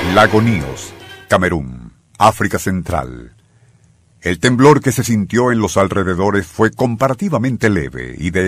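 A man speaks with vocal fry at a fairly slow pace. His pitch sits fairly low. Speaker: radio narrator. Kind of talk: history documentary narration. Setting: radio studio. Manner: solemn, dramatic, measured narration; formal, suspenseful storytelling.

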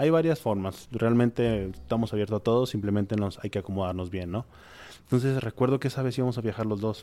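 Medium in pitch with ordinary pitch variation, a man's dark, mellow voice moves at a very fast pace. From Monterrey, Mexico. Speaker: gastronomy entrepreneur and teacher. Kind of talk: interview. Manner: halting.

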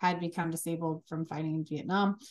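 Against a quiet background, a woman with an American accent speaks at a fairly low pitch in a monotone, flat intonation. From Chicago, US Midwest. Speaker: business owner. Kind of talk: interview. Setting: remote call.

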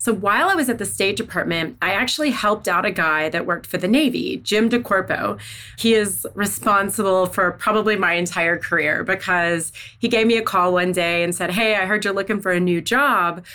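Over noticeable background noise, a woman with an American accent speaks at a moderate pace with very even loudness, medium pitch and ordinary pitch variation. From US South, Missouri Bootheel / northeast Arkansas. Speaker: defense research policy expert, former defense official. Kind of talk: podcast interview. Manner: animated.

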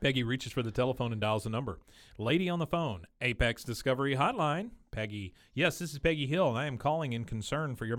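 A natural voice reading aloud

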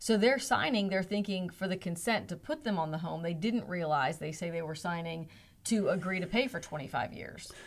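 With a normal speaking voice, a woman talks at a moderate pace and a medium pitch, her intonation lively. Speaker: radio host. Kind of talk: interview.

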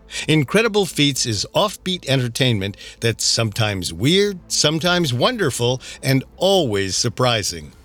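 With music in the background, a man speaks at a moderate pace with medium pitch, very wide pitch swings and very even loudness. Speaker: podcast host. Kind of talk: true-crime narration. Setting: studio. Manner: suspenseful, steady delivery.

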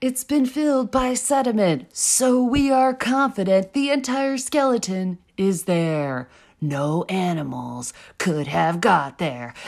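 A female-sounding put-on character voice with a dramatic tone and medium pitch moves at a fairly slow pace through very wide pitch swings. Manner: spooky, dramatic.

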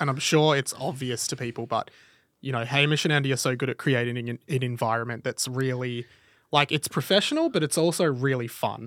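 A man of medium pitch with an Australian accent at a fairly quick pace, in a very clean, dry, close recording with no echo and a silent background. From Melbourne, Australia. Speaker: radio and podcast presenter. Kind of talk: casual interview chat. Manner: exuberant.

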